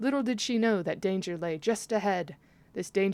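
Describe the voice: What we hear is plain reading aloud. Pitch moves up and down to a typical degree.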